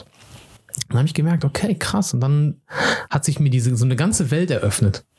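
Lively intonation from a man talking at a moderate pace. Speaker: podcast host, film person. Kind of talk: casual chat. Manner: animated.

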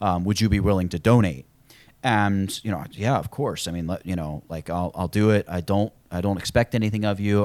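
The recording is very clean with a silent background. A man talks at a fairly quick pace in a very deep, low voice with ordinary pitch variation. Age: 20s. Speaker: YouTube tutorial creator. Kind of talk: casual chat.

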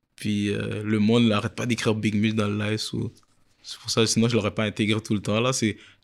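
In a very clean recording with a silent background, a man speaks at a fairly quick pace with a fairly low pitch and monotone, flat intonation. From Quebec. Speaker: reality web show creator. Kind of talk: casual interview.

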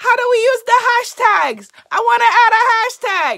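In a put-on character voice, a woman squeaks at an extremely high pitch, keeping a moderate pace and fairly even intonation. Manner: exaggerated, admittedly bad imitation.

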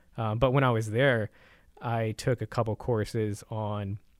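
With an American accent, a man speaks in an ordinary speaking voice at medium pitch with fairly even intonation, on a very clean recording with a silent background. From San Antonio, Texas. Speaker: property tax lawyer. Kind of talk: casual interview.

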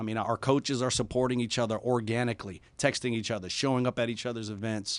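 This is an ordinary speaking voice from a man at medium pitch. He speaks at a fairly quick pace. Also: quiet background. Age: 40s. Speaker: university athletic director. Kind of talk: interview. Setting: studio.

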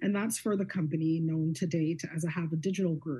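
Somewhat breathy, a woman with a Canadian accent speaks in a dark, mellow tone. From Canada, Guelph, Ontario. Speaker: media company CEO and investor. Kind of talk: casual interview. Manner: frequent hesitations with um.

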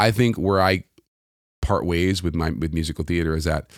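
Speaking with a New York accent, a man talks at a moderate pace in a very deep, low voice. The intonation is fairly even, and the sound is dry and close with no echo. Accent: New York American. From New York City. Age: 40s. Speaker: singer-songwriter and pianist. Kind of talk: casual interview chat. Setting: video call.

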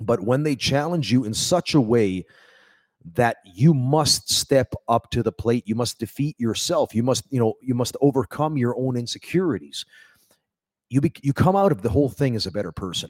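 In an ordinary speaking voice, a man talks at a moderate pace with lively intonation and a medium pitch. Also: dry, close sound with no echo. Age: 40s. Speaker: pro wrestler and trainer. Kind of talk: casual chat. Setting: wrestling training hall.

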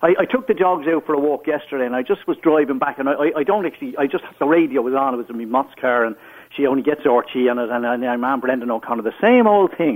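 Talking at a very fast pace with hardly any pauses, a man with an Irish accent uses a fairly high pitch and ordinary pitch variation. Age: 60s. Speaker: caller. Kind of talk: radio phone-in. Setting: phone call.

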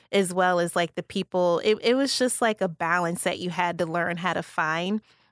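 An unremarkable speaking voice from a woman with an American accent, medium in pitch and fairly even in intonation, at a moderate pace in a very clean, dry, close recording with no echo and a silent background. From Illinois, Kankakee. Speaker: county communications director, former TV reporter. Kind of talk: casual interview chat.

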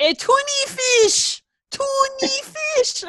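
Someone puts on a character voice pitched extremely high.

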